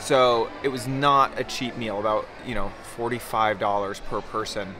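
A man speaks with fairly even intonation. Clear music plays in the background. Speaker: travel vlogger. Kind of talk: casual vlog chat. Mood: chatty, slightly uneasy. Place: street. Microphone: phone near.

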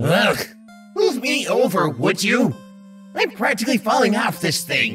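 Over clear background music, a put-on character voice moves at a moderate pace. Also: man, high pitch for a man. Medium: dub. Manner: irritable, whiny.

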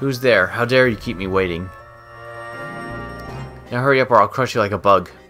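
A loud, rumbling put-on character voice at a fairly quick pace, with clear music in the background. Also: man, medium pitch for a man. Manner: menacing, domineering.

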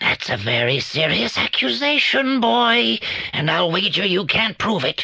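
A put-on character voice at a moderate pace and middle pitch, with very wide pitch swings. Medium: audio drama. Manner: theatrical, measured.

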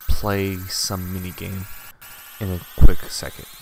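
Over noticeable background noise, a man talks in a fairly low, monotone voice with flat intonation. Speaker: emulator gameplay tester. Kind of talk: gameplay commentary. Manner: stuttering, hesitant.

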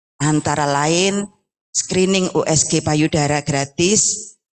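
A woman speaks with fairly even intonation. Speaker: cancer support community leader. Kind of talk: welcome speech. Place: hall. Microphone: handheld.

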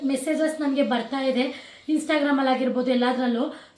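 A woman's high-pitched, monotone, flat delivery with audible room echo. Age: 20s. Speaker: vlogger. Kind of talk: casual Q&A chat.

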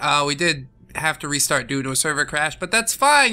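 A raised, projected voice at a fairly quick pace, with very wide pitch swings. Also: man. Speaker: gaming video creator. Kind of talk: casual let's play commentary. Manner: jokey, laughs often.

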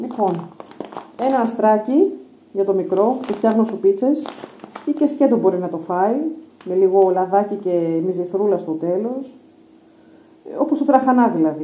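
A woman speaks at a fairly slow pace with lively intonation. Her speech has long, frequent pauses. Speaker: home vlogger. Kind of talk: casual vlog chat. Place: home room. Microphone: phone near.

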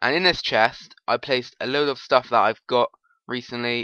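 The man's voice has a bright, sharp tone and a medium pitch. He talks at a fairly slow pace, the sound dry and close with no echo. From British. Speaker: gaming commentator. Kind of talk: casual let's play commentary. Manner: casual, chatty.

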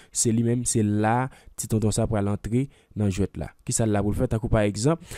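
A dark, mellow tone moves at a fairly quick pace on a very clean recording with a silent background. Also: man. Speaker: software tutorial creator. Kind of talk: tutorial.

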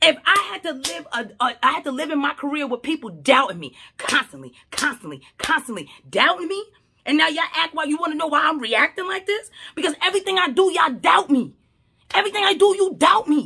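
With lively intonation and a raised, projected voice, a woman speaks at a fairly quick pace. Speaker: social media commentator. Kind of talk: casual vlog commentary. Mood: passionate, argumentative. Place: home room. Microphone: phone near.

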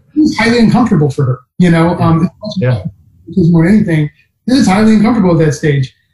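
Over a quiet background, a man speaks at a high pitch with a dark, mellow tone. His ordinary pitch variation carries audible room echo. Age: 40s. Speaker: plant-based diet advocate. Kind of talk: casual interview. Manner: halting, many fillers. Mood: earnest, passionate. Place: home room. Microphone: video call.

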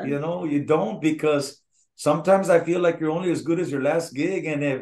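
In a quiet background, a man with an American accent talks at a fairly quick pace, his pitch fairly high and his intonation fairly even. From Eagle Pass, Texas. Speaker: Tejano singer. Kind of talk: interview answer. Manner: candid. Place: home room. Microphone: video call.

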